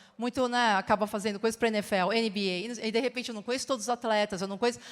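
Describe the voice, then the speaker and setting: This woman talks at a very fast pace in a fairly high voice. Her intonation stays monotone and flat throughout. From Brazil. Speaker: advertising creative. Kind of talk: conference talk.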